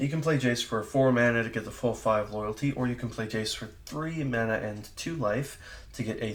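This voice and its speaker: Medium in pitch with ordinary variation, a man talks in an unremarkable speaking voice. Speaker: card game content creator. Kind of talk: casual product review.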